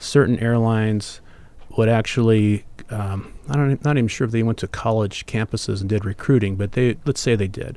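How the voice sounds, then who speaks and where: A man's dark, mellow voice sits at a medium pitch with fairly even intonation. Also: fairly quick pace. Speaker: airline pilot. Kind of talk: casual interview. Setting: studio.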